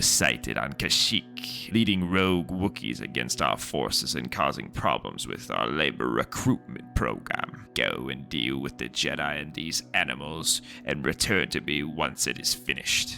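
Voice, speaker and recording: Using a put-on character voice, a man talks at a moderate pace with hardly any pauses while clear music plays in the background. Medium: read story. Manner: cold, commanding.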